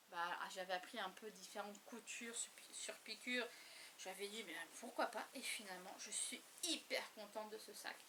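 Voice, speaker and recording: Over noticeable background noise, a woman with a fairly high voice speaks at a moderate pace with ordinary pitch variation. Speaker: crafting YouTuber. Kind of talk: casual show-and-tell vlog. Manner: halting, many hesitations.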